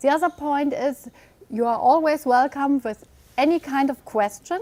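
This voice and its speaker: A woman's high-pitched voice at a fairly slow pace, with ordinary pitch variation and a dry, close sound with no echo. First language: German. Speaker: webinar presenter, immigration law advisor. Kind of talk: webinar presentation. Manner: hesitant, with fillers.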